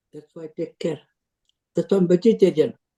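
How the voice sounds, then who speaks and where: This man has a high pitch and a dark, mellow tone. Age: 80s+. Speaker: publisher and columnist. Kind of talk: closing remarks on video call. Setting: video call.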